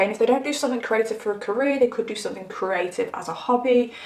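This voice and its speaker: Talking very fast in an animated tone, a woman with an English accent speaks at a fairly high pitch over noticeable background noise. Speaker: tarot reader. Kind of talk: tarot reading monologue.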